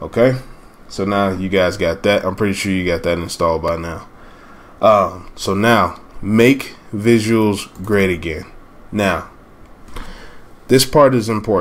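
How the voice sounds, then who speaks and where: The pace is fairly slow, broken by long, frequent pauses. Pitch varies in an ordinary way. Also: man, fairly low pitch for a man. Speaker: gaming tutorial youtuber. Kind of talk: tutorial.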